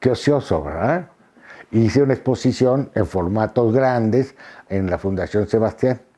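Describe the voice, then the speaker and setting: A man's voice carries a dark, mellow tone and ordinary pitch variation. He moves at a fairly slow pace against a quiet background. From Mexico City. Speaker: photographer and visual artist; interviewee. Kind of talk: interview monologue; interview answer. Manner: hesitant, many fillers and repetitions. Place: home room. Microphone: lapel.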